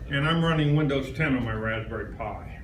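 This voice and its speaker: Noticeable background noise and audible room echo fill the recording. A man with a fairly high pitch speaks at a moderate pace. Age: 70s. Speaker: visiting presenter at a computer user group. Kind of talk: live presentation to an audience. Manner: casual and chatty.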